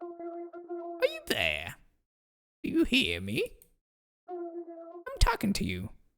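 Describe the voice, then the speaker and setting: A put-on character voice at an extremely high pitch crawls along very slowly with long, frequent pauses. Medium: dub. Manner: calm, mysterious.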